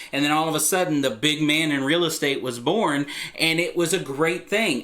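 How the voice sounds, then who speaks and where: An animated man with a Texan accent, fairly high in pitch with ordinary pitch variation, at a moderate pace amid noticeable background noise. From Texas. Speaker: real estate agent. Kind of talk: vlog talk to camera. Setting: recorded video, Texas flag behind. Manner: loud.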